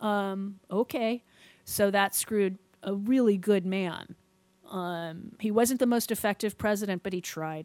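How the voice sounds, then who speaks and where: A woman with a plain, everyday voice speaks at medium pitch and a fairly slow pace, with fairly even intonation, in a very clean recording with a silent background and a dry, close sound with no echo. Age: 50s. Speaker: podcast host. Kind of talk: casual chat.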